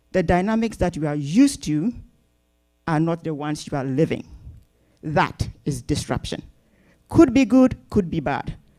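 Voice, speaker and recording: A woman with a dark, mellow tone speaks with very wide pitch swings and long, frequent pauses. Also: fairly low pitch for a woman, moderate pace. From northern Ghana. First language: Napt (Ghanaian language). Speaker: community organization speaker. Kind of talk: welcome speech to audience. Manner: hesitant with fillers.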